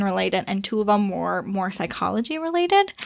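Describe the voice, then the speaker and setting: A woman with an ordinary speaking voice at a medium pitch and a fairly quick pace. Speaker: preschool teacher. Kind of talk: casual interview.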